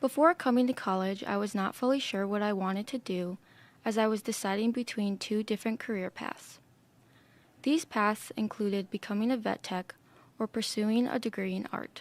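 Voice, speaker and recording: On a very clean recording with a silent background, a woman with an American accent uses a normal speaking voice at a fairly high pitch, moderate pace and ordinary pitch variation, the sound dry and close with no echo. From Minnesota, US Midwest. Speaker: art student. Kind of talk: presentation talk. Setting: podcast room.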